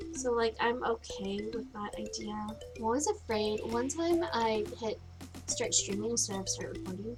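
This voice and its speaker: A woman speaks with an upbeat tone at a moderate pace. Music plays in the background. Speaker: gaming streamer. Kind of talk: casual gameplay commentary. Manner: upbeat, chatty.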